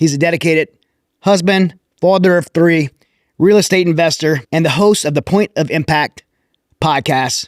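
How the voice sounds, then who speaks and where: A man speaks with a Louisiana accent in a high pitch, leaving long, frequent pauses. The recording is dry and close, with no echo. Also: ordinary pitch variation, moderate pace. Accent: Louisiana Southern US. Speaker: podcast host. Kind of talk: interview.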